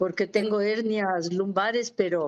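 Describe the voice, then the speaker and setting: Fairly slow and fairly even in intonation, a woman uses a normal speaking voice at a fairly high pitch. The background is quiet. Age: 60s. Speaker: retired physiotherapist. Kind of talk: casual chat.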